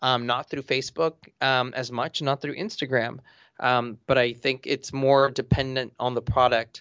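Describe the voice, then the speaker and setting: Speaking at a moderate pace with an American accent, a man uses a medium pitch and fairly even intonation. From Los Angeles, US. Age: 30s. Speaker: real estate agent and author. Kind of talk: interview.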